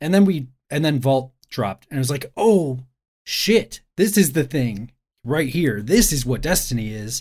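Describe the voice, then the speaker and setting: A man talks at a fairly slow pace in a fairly high, somewhat breathy voice. His pitch swings very widely. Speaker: video game journalist. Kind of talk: casual podcast discussion.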